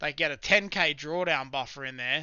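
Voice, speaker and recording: A man with an Australian accent, fairly high pitch and fairly even intonation. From South Australia, Adelaide. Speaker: live-streaming day trader. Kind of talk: live stream chat with viewers. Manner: casual, conversational.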